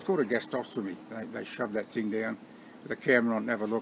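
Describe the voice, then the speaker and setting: A man speaks at a very fast pace with an Australian accent. Light background noise can be heard. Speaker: vlogger. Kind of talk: casual talk to camera. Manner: hesitant, umming and ahing. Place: garden. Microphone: phone near.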